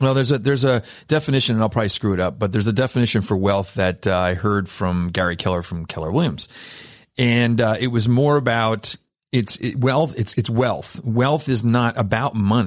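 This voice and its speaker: A man's ordinary speaking voice, medium in pitch with ordinary pitch variation, at a fairly quick pace. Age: 50s. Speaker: podcast host. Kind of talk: casual chat. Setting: studio.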